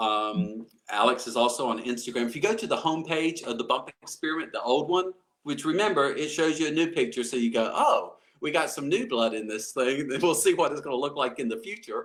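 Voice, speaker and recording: Lively intonation carries a man's fairly high pitch in an American accent. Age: 60s. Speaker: motivational speaker. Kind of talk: interview. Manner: halting.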